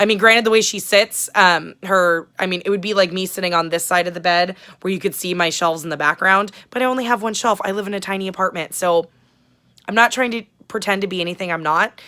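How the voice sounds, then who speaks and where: A loud woman talks at a very fast pace with a bright, sharp tone. Her pitch is medium and her intonation fairly even. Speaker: booktube vlogger. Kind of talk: casual vlog chat. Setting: small apartment, sitting on bed.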